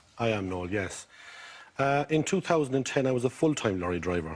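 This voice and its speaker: Speaking in a Mayo accent, a man keeps a moderate pace. His intonation is lively. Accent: Irish, County Mayo. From Ireland, County Mayo. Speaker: game show contestant. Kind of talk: casual chat. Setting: TV studio with audience.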